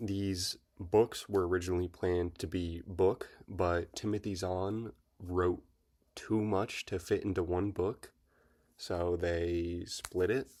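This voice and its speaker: Over a very clean recording with a silent background, a man speaks quietly at a very slow pace, his very deep, low voice flat and monotone. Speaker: book reviewer YouTuber. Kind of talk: casual video review. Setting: at home.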